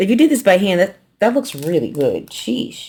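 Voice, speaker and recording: A woman in an American accent speaks at a medium pitch with very wide pitch swings and a relaxed tone. Her voice is somewhat breathy and dark and mellow. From New York. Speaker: quilting youtuber. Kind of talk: casual unboxing chat. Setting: on camera at home. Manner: fast, slurred words; casual, relaxed.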